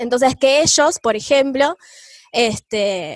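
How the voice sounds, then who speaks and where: In a dry, close recording with no echo, a woman with a high pitch speaks at a fairly slow pace with ordinary pitch variation. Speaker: teacher. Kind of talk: lecture.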